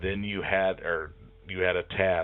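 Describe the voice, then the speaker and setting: Noticeable background noise sits behind a man's very deep, low voice. He speaks with flat, monotone intonation. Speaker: job interview tips presenter. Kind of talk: tutorial. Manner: hesitant, many fillers.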